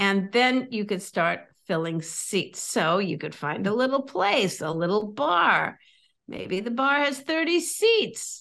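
Against a quiet background, a woman with an American accent talks at a fairly slow pace, her pitch swinging very widely. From California. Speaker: comedian and comedy coach. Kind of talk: casual interview chat. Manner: animated, humorous.

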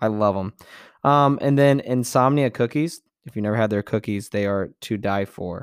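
Dry, close sound with no echo, a very clean recording with a silent background, and ordinary pitch variation. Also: man, medium pitch for a man. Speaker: podcast host and STEM teacher. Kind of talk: casual podcast monologue. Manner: fast talker.

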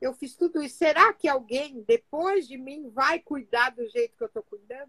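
A woman with a bright, sharp tone, lively intonation, and a moderate pace. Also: dry, close sound with no echo. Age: 60s. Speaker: Bible study speaker. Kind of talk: Bible reflection. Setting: Instagram live from home office.

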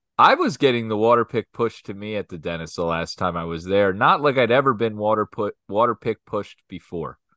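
A man with an American accent talks at a fairly quick pace, his fairly low voice bright and sharp in tone with ordinary pitch variation. The sound is dry and close with no echo, over a quiet background. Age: 40s. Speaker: podcast co-host. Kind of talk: casual chat.

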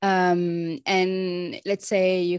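A woman speaks at a fairly low pitch with a French accent. The sound is dry and close, with no echo and a quiet background. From France. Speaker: osteopath. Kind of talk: podcast interview.

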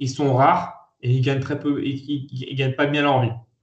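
This man speaks at a fairly slow pace. His voice sits fairly high in pitch. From France, Lyon. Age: 30s. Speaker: entrepreneur. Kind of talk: interview. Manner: hesitant, many fillers.

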